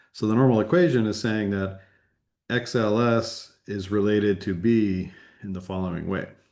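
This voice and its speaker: A man's fairly low voice with audible room echo. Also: ordinary pitch variation, moderate pace. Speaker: university lecturer. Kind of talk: lecture.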